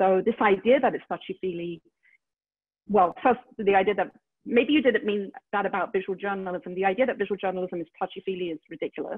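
Against a quiet background, a woman speaks at a very fast pace with ordinary pitch variation. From London, England. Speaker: media executive. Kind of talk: interview. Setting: video call. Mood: earnest, reflective. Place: home room. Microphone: earbuds.

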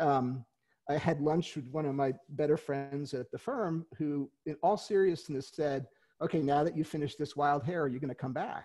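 A man with an American accent speaks at a moderate pace, his pitch fairly high and his tone dark and mellow. Pitch variation is ordinary, and the background is quiet. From New York City, Queens; New York. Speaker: author and retired lawyer; retired lawyer. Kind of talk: interview. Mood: friendly, relaxed. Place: home room. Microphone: headset.

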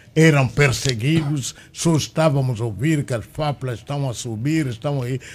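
A man speaks at a fairly slow pace with hardly any pauses, in a medium pitch with ordinary pitch variation. His voice is somewhat breathy, with light background noise. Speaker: former liberation movement politician. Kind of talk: panel interview. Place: studio. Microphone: studio mic.

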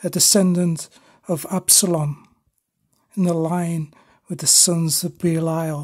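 A solemn, dramatic tone at a very slow pace on a very clean recording with a silent background. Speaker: poet reading own poem. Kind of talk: poem performed, dark biblical verse read aloud. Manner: solemn, grave and slow-paced, with dramatic weight on the gory imagery.

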